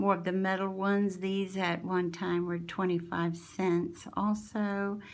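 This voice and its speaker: A woman at medium pitch, speaking at a fairly slow pace, with audible room echo. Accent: Southern US. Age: 60s. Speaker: crafting channel owner. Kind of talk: show-and-tell haul video. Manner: animated.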